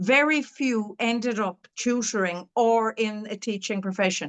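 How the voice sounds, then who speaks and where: Using ordinary pitch variation, a woman talks at a fairly slow pace in an Irish accent. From Ireland. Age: 60s. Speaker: dyslexia tutor and curriculum author. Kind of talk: interview. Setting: podcast interview. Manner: halting.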